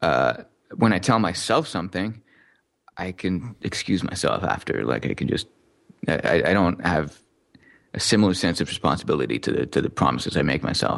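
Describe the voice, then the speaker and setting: Very deep and low, a man's voice carries vocal fry and very wide pitch swings, broken by long, frequent pauses over a quiet background. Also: fairly quick pace. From Montreal suburbs, Quebec, Canada (born in Newcastle, England). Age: 30s. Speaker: software developer. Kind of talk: interview.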